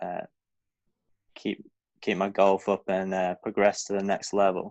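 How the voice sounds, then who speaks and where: A man with a Lancashire accent speaks in a very deep, low voice with flat, monotone intonation. The sound is dry and close, with no echo. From northern England, Blackpool. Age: 20s. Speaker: professional golfer. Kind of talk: podcast interview. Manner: casual, hesitant with fillers.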